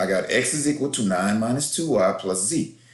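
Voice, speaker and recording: A man speaks in a somewhat breathy voice. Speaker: math teacher. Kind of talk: tutorial. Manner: fast.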